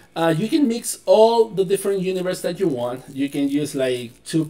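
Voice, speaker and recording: A man with a non-native accent and a dark, mellow tone speaks at a fairly slow pace with lively intonation. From Chile. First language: Spanish. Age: 20s. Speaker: board game store owner. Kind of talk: casual unboxing talk to camera. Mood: enthusiastic, casual. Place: home room.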